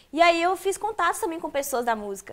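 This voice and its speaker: A woman speaks at a moderate pace. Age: 20s. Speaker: singer; interviewee. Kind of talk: interview. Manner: halting. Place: office.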